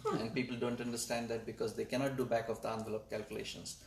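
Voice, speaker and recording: With a Marathi accent, a man speaks against noticeable background noise. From India (Maharashtra). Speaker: astronomer and data scientist. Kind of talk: panel interview. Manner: hesitant, with fillers.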